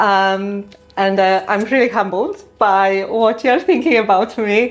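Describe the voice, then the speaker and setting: Noticeable background noise beneath fairly slow talking. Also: woman. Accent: Polish. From Poland. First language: Polish. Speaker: dentist, prosthodontist. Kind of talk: interview podcast.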